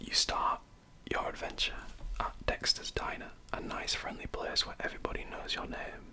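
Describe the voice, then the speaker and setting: Someone whispers in a relaxed tone with a Yorkshire accent at a moderate pace, with noticeable background noise behind them. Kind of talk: ASMR show-and-tell of a video game guide. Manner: whispered; soft-spoken, relaxed.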